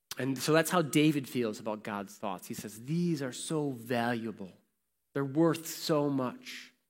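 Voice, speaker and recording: A man with an American accent talks at a fairly slow pace and medium pitch, with ordinary pitch variation and an unremarkable speaking voice. His loudness swings widely on a very clean recording with a silent background. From Warsaw, Indiana (US Midwest). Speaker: pastor. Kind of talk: sermon.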